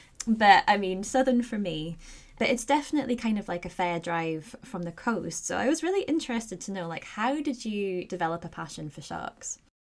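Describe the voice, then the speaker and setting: Speaking fairly quickly with a Scottish accent, a woman uses a medium pitch and lively intonation, her loudness swinging widely. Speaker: podcast host. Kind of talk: podcast interview. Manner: casual, chatty.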